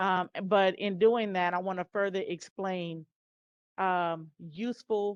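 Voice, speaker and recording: Against a quiet background, a woman with a medium-pitched voice talks very slowly and with fairly even intonation, the sound dry and close with no echo. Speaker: college instructor. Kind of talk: lecture.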